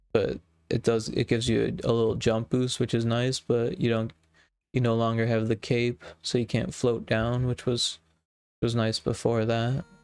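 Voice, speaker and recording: The quiet voice moves at a moderate pace with monotone, flat intonation and very even loudness, in a dry, close, echo-free recording that is very clean with a silent background. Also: man, medium pitch for a man. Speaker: game developer streamer. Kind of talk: casual livestream chat. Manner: halting.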